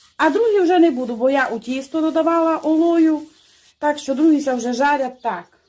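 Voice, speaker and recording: A woman with a Transcarpathian accent speaks with a high pitch. Her pace is moderate, with ordinary pitch variation. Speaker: home cook. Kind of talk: cooking tutorial. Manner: casual, chatty.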